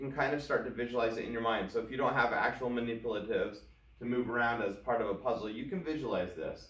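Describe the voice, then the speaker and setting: Over noticeable background noise and audible room echo, a man speaks at medium pitch. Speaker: math teacher. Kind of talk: tutorial.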